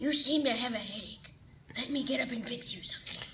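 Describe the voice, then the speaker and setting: A woman's raspy, high, put-on character voice at a very fast pace, with clear background noise. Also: fairly even intonation. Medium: stage play. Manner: gentle, polite.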